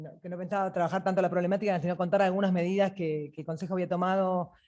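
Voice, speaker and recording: A woman's fairly low-pitched voice. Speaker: judiciary council member. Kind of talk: panel talk. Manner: fast; halting.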